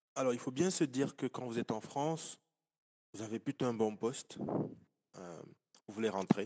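At a moderate pace, a man with a dark, mellow tone and medium pitch speaks with ordinary pitch variation, big swings in loudness, and long, frequent pauses, in a dry, close sound with no echo. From Cameroon. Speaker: engineer and entrepreneur. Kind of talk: interview.

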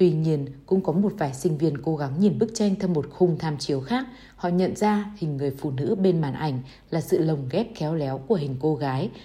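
A woman with a very deep, low pitch speaks with lively intonation in a dark, mellow tone that is somewhat breathy. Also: moderate pace. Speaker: audiobook reader. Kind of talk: reading aloud.

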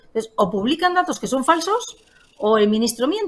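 A high-pitched female voice with very wide swings in pitch. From Spain, Palencia. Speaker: member of parliament. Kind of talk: political interview.

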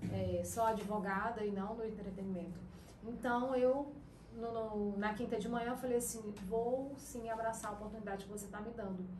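With noticeable background noise and room echo, a woman speaks at a moderate pace in a fairly high voice, her intonation fairly even. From interior of Pará, Brazil. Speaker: radio presenter and lawyer. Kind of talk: casual chat.

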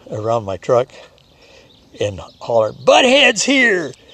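Noticeable background noise fills the recording. Over it, a man speaks at a moderate pace. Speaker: Marine veteran. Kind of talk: storytelling. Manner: halting.

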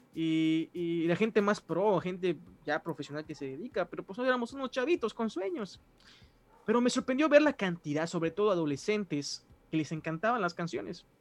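Here a man speaks at a moderate pace with lively intonation and a high pitch. The recording is dry and close, free of echo. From Mexico, Mérida, Yucatán. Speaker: musician and pastor. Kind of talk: casual interview.

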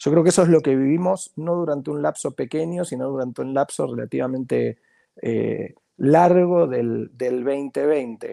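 A man at a fairly slow pace, the sound dry and close with no echo. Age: 40s. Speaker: marketing professor and consultant. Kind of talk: interview conversation. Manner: halting, frequent repetitions.

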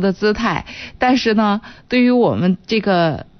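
A woman with an ordinary speaking voice talks fairly slowly at a medium pitch, her intonation lively. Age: 40s. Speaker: radio host. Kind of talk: radio call-in advice show.

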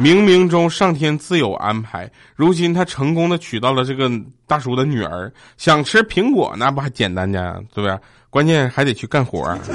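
A man talks at a moderate pace in a fairly high pitch. His pitch swings very widely. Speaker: podcast host. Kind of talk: casual comedic monologue reading funny stories.

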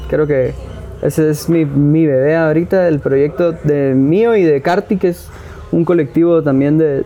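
Noticeable background noise sits behind this recording. A man talks at a fairly slow pace with a fairly high pitch. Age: 20s. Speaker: independent filmmaker. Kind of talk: casual interview.

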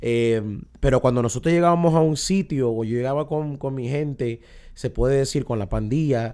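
In a very clean recording with a silent background, a man talks at a moderate pace with a medium pitch, a dark, mellow tone and ordinary pitch variation. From Irving, Texas, US. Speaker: pastor and former gang member. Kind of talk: testimony.

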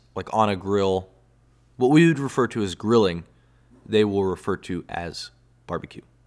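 A man with a Texan accent and fairly low pitch, on a very clean recording with a silent background. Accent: Texan (US Southern) English. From Texas. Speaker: podcast host. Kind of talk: casual solo monologue. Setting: indoors, home recording spot. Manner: halting, many fillers. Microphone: solo close to microphone, new headphones.

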